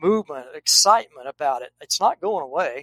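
Bright and sharp in tone, a man speaks at a moderate pace with ordinary pitch variation, the sound dry and close with no echo. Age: 60s. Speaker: hunting nonprofit founder and retired forest service biologist. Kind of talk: casual interview. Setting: video call.

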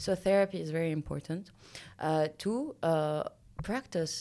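On a very clean recording with a silent background, a woman with a Lebanese accent speaks at a fairly slow pace in a dark, mellow tone, her very deep, low pitch showing ordinary variation. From Lebanon. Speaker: mountaineer and entrepreneur. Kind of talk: interview.

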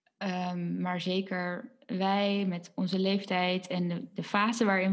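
This woman's pitch is medium. Her intonation stays monotone and flat. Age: 20s. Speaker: podcast co-host, former occupational therapist recovering from burnout. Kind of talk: casual chat. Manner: hesitant, many filler words.

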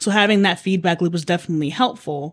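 Medium in pitch, a woman's voice comes through. The recording is very clean, with a silent background. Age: young. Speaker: young lawyer interviewer. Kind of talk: interview conversation.

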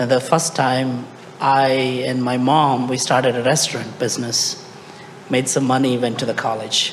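Noticeable background noise sits behind a man with an Indian accent who speaks at medium pitch and a moderate pace. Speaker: startup founder. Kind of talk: panel discussion. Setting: stage with audience.

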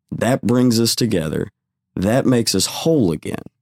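A fairly low-pitched man in a Texan accent, at a fairly slow pace with lively intonation and a dry, close sound with no echo. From Texas, Waco. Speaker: fishing club founder. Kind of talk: interview.

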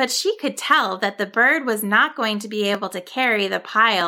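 The clip is plain reading aloud, and its pitch varies in an ordinary way.

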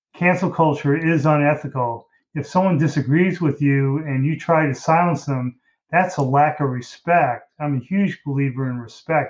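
The delivery keeps to a moderate pace with fairly even intonation. It is an ordinary speaking voice. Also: man. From US Midwest, Detroit, Michigan. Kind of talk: interview conversation.

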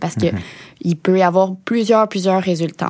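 Speaking with a Quebec accent, a woman uses a medium pitch, a dark, mellow tone and fairly even intonation. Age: 20s. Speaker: TV show host and financial educator. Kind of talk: interview.

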